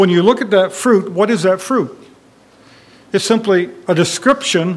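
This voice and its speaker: Ordinary pitch variation at a moderate pace. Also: man. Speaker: Bible class teacher. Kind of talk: Bible study lecture. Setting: church classroom with audience.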